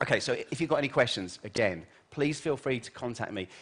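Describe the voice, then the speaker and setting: Speaking very fast in an animated tone, a man with a British accent keeps to a medium pitch. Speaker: keynote speaker, journalist and futurist. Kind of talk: conference keynote talk. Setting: stage with audience.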